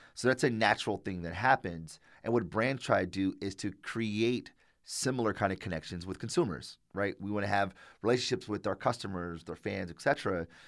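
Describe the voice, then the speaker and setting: A man with an American accent and an ordinary speaking voice, fairly low in pitch with ordinary pitch variation, on a very clean recording with a silent background. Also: fairly quick pace. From Detroit, Michigan, US. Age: 30s. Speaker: marketing practitioner and educator. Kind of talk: casual interview. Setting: library.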